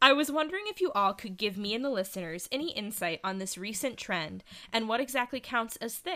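Fairly high-pitched and bright, sharp in tone, a woman talks at a fairly quick pace with very wide pitch swings and an animated tone. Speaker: podcast host. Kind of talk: casual chat.

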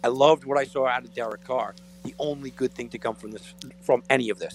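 The voice carries vocal fry and moves at a fairly quick pace. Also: man. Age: 40s. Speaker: sports radio co-host. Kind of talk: sports talk radio. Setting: radio studio.

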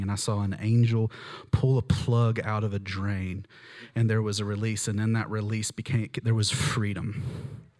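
A man talks in an animated tone at a moderate pace. His pitch is fairly low, and the recording is very clean with a silent background. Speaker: preacher. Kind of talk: sermon with live prayer and prophetic words over a congregation. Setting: church with live audience. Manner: fervent, earnest, conversational and animated.

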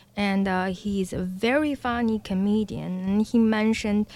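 A woman with a Chinese accent speaks with hardly any pauses. Her intonation is fairly even. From Beijing, China. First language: Mandarin Chinese. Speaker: former dancer, arts education business owner. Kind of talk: radio interview.

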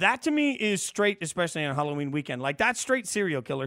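In a very clean recording with a silent background, a man with an American accent talks at a very fast pace in a bright, sharp tone, with very wide pitch swings. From Las Vegas, Nevada. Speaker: sports radio host. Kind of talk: casual sports talk. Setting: radio studio.

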